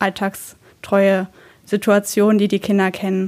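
At a very slow pace, the speech has flat, monotone intonation on a very clean recording with a silent background. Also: woman. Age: 20s. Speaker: daycare educator. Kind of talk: informational podcast talk. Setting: office.

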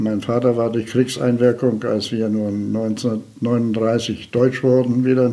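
This man has a medium-pitched voice with monotone, flat intonation. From Province of Posen (former eastern Germany), raised in Lower Saxony from age 8. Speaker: retired volunteer fire chief. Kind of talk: interview.

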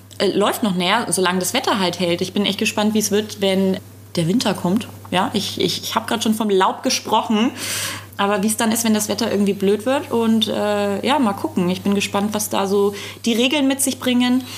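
A woman at a medium pitch talks at a fairly quick pace with ordinary pitch variation and very even loudness, over noticeable background noise. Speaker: podcast co-host and food blogger. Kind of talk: casual chat. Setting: studio.

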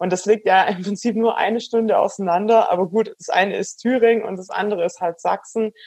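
A woman with a Swabian accent, medium in pitch, at a fairly quick pace with fairly even intonation and hardly any pauses. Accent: Swabian dialect, noticeable. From Swabian Alb, Baden-Württemberg. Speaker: startup founder and cyclist. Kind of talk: interview.

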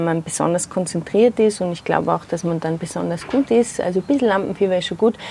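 A woman speaks at a medium pitch. Noticeable noise sits in the background. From Austria, Tyrol (Zillertal). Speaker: theatre maker and festival founder. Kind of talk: interview. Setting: outdoors in a garden. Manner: hesitant, many fillers.

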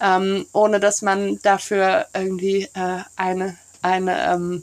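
Her intonation is monotone and flat as the woman speaks. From Brussels, Belgium. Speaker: neighbourhood café organiser. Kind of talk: casual interview.

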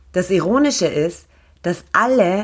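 A woman's medium-pitched voice, a normal speaking voice with lively intonation, on a very clean recording with a silent background. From Austria (grew up there after arriving as a refugee). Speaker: radio host and event organizer. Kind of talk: scripted monologue.

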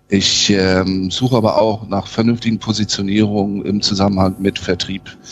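Over music in the background, a man with a fairly low pitch speaks at a moderate pace. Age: 50s. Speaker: sales and marketing consultant. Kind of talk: interview.

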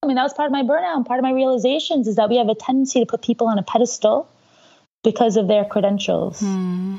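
A woman with a New York accent talks very fast, her fairly high pitch moving with ordinary variation. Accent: New York American. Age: 30s. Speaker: executive and life coach. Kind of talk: interview conversation.

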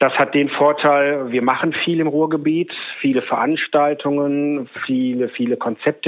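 A man with a plain, everyday voice speaks at a medium pitch and moderate pace, his pitch varying in an ordinary way. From Ruhr area, Germany (Oberhausen). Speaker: agency owner. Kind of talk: interview. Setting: remote connection.

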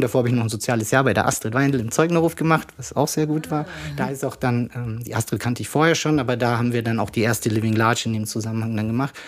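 Very fast speech from a man, ordinary in its pitch variation. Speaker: rapper and family doctor. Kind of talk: casual interview.

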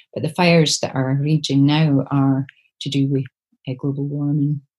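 A woman with an Aberdeen accent, very deep and low in pitch, somewhat breathy, dark and mellow in tone, with monotone, flat intonation at a moderate pace. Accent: Scottish, north-east (Aberdeen). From Scotland, Aberdeen. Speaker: poet. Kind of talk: interview conversation. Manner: halting.

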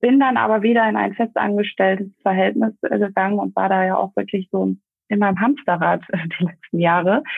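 A woman talks at a moderate pace with a medium pitch and ordinary pitch variation. She has a normal speaking voice. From Germany, Essen. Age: 30s. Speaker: network marketer. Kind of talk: interview.

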